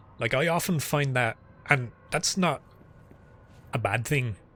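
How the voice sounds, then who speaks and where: The voice has a somewhat breathy quality. Its intonation moves in a lively way. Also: man. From Ireland. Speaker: gaming streamer. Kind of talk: casual live-stream gameplay chat. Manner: casual, sometimes mumbling.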